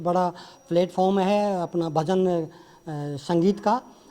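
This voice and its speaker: His voice sits high for a man, with a dark, mellow tone and fairly even intonation. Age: 60s. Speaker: songwriter and actor. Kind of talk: press conference interview. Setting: press conference with journalists.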